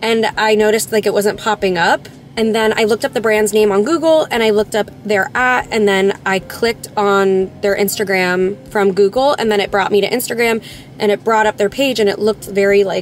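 A woman talks at a fairly quick pace with very even loudness and ordinary pitch variation, the sound dry with no echo and light background noise behind her. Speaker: vlogger. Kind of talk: casual vlog chat. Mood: mildly upset, storytelling. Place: car. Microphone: phone near.

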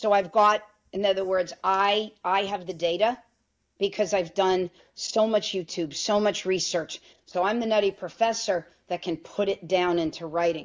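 In a plain, everyday voice, a woman with an American accent speaks at a moderate pace and medium pitch, with fairly even intonation and a quiet background. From New York. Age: 50s. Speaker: physician (OB-GYN); interview guest. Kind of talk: interview. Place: home room. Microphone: video call.

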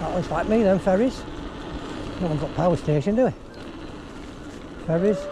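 The voice shows ordinary pitch variation, with background noise clearly audible. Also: man, high pitch for a man, moderate pace.

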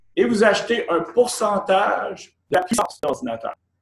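Lively intonation marks this man's high-pitched voice, heard with audible room echo against a quiet background. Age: 50s. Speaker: company executive; presenter. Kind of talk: sales pitch. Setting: office. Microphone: video call.

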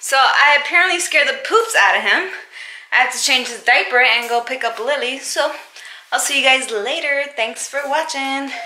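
A woman speaks in a raised, projected voice at a moderate pace. The room echo is audible. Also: ordinary pitch variation. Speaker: mom vlogger. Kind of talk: casual vlog chat. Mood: playful, upbeat. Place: home room. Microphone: phone near.

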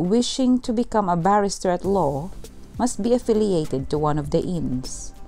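Over music in the background, a woman speaks with lively intonation. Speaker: tour narrator. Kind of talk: documentary narration.

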